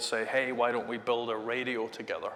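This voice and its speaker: Amid noticeable background noise and audible room echo, a man with a Scottish accent speaks at a medium pitch with monotone, flat intonation. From Scotland, Glasgow. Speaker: tech executive. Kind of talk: interview.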